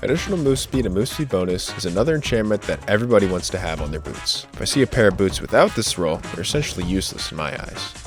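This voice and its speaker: Over music in the background, a man talks at a very fast pace in a fairly low pitch with very wide pitch swings. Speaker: game guide creator. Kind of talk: video game guide narration. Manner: lethargic.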